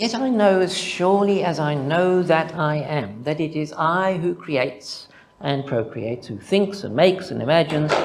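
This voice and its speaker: Audible room echo carries a man's voice in a Zimbabwean accent. His pitch is fairly high, with very wide pitch swings. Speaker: mathematician presenting a conference paper. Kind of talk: conference talk. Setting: conference with audience.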